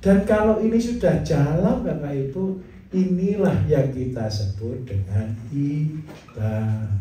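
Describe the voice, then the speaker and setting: At a very slow pace, the speaker's pitch swings very widely amid audible room echo and noticeable background noise. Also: man, fairly high pitch for a man. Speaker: farming teacher. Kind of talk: lecture. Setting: class with audience. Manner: animated.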